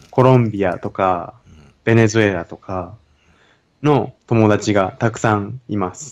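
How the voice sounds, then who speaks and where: A man's fairly low voice at a fairly slow pace, with ordinary pitch variation and big swings in loudness. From Japan. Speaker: university student. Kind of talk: casual conversation. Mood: relaxed, friendly. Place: home room. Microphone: studio mic.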